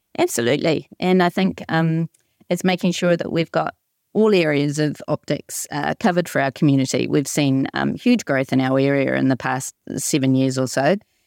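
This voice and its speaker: A woman with a New Zealand accent speaks at a moderate pace in a very deep, low pitch with ordinary pitch variation, the sound dry and close with no echo on a very clean recording with a silent background. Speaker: dispensing optician. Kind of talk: round-table discussion.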